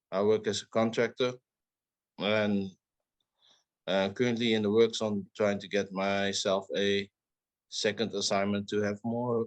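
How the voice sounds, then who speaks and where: Here a man speaks in a southern Dutch accent at a fairly slow pace. His intonation is monotone and flat, and the sound is dry and close with no echo. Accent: Dutch, southern soft G. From southern Netherlands. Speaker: podcast co-host. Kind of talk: casual chat.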